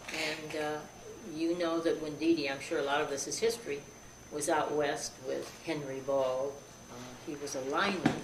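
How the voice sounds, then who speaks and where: With an American accent, a woman speaks at a moderate pace in a very deep, low voice with fairly even intonation and long, frequent pauses, amid audible room echo and noticeable background noise. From western New York. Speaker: relative of a celebrity. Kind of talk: interview. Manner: halting.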